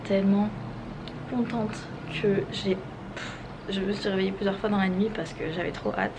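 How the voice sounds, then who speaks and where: A soft-spoken woman with fairly even intonation, audible room echo and noticeable background noise. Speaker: vlogger. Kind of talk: casual vlog.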